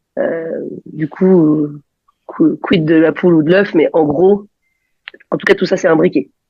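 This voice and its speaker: A woman with a fairly low voice speaks at a fairly slow pace. Her intonation stays fairly even, and she leaves long, frequent pauses. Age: 40s. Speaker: psychologist, single mother. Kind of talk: casual interview chat. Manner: hesitant, many fillers.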